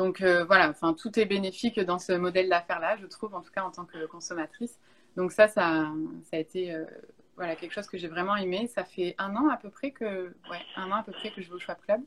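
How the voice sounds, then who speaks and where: A woman with an unremarkable speaking voice talks at a moderate pace and medium pitch, with ordinary pitch variation and big swings in loudness. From France, Bordeaux. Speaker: YouTuber and content creator. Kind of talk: casual interview. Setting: remote Instagram live.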